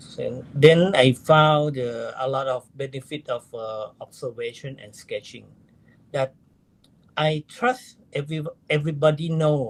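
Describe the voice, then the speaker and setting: A man with a Thai accent, somewhat breathy, at a fairly slow pace, with ordinary pitch variation and big swings in loudness. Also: fairly high pitch for a man. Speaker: amateur astronomer, astro-sketcher. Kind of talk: interview. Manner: halting, broken English.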